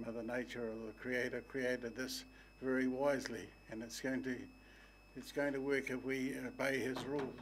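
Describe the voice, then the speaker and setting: A man at medium pitch with fairly even intonation, a moderate pace and long, frequent pauses, amid audible room echo. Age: 80s+. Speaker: soil consultant making a public submission. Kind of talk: public submission to council. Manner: halting.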